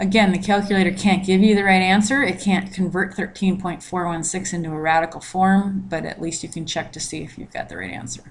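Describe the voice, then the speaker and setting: Somewhat breathy and medium in pitch, a woman talks at a fairly quick pace with hardly any pauses, fairly even intonation and big swings in loudness. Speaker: math teacher. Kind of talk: recorded lecture.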